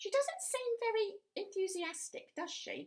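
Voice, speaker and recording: A woman's put-on character voice, squeaky and extremely high in pitch, with ordinary pitch variation at a moderate pace. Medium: read story. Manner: giggly, gossipy.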